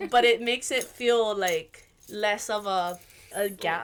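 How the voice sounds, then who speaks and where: In a very clean recording with a silent background, a voice with a Hawaiian accent shows ordinary pitch variation. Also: woman. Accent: Hawaii English. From Hawaii, Waimanalo on east Oahu. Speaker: musician and Hawaiian language teacher. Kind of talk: casual podcast interview.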